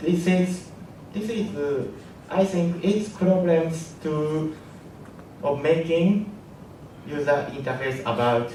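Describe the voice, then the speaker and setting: Audible room echo surrounds a man who talks at a very slow pace with long, frequent pauses and a fairly high pitch. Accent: Japanese. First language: Japanese. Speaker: app engineer. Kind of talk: conference talk. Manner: halting.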